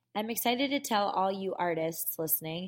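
In an American accent, a woman speaks with an ordinary speaking voice of medium pitch and ordinary pitch variation. Her pace is moderate, on a very clean recording with a silent background. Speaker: podcast host. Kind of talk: interview.

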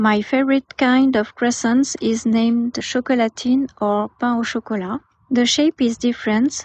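High-pitched woman with a French accent, very even loudness and fairly even intonation. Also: moderate pace. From France. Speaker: guest contributor. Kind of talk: prepared statement.

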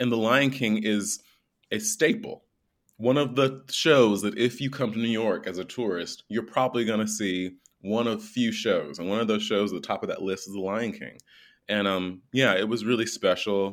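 A man with an American accent speaks at a medium pitch in a plain, everyday voice, with ordinary pitch variation. The recording is very clean, with a silent background. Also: moderate pace. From US South, small-town North Carolina. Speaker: musical theatre actor. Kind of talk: interview.

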